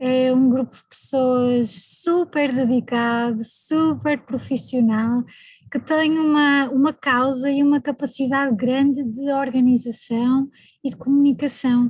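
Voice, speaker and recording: In a European Portuguese accent, a woman with a high pitch speaks at a fairly slow pace and fairly even intonation. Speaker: evaluation specialist, invited speaker. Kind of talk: speech at online launch event.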